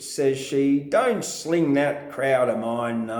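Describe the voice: With ordinary pitch variation, the delivery is plain reading aloud.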